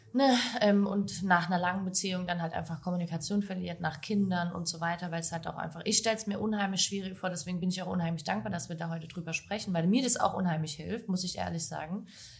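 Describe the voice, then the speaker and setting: Very fast delivery with hardly any pauses from a woman at a fairly low pitch, with ordinary pitch variation and noticeable background noise. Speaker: podcast host. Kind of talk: casual interview chat. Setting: café back room.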